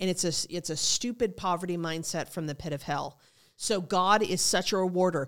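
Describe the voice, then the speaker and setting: A woman with an ordinary speaking voice talks at a moderate pace in a fairly low pitch with ordinary variation. The recording is very clean, with a silent background. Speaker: pastor. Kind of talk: sermon-style preaching talk. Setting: studio.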